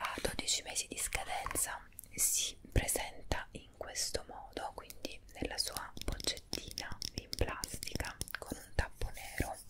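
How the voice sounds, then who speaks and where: A woman whispers at a very slow pace. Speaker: beauty vlogger. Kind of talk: casual product review vlog. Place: home room. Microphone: earbuds.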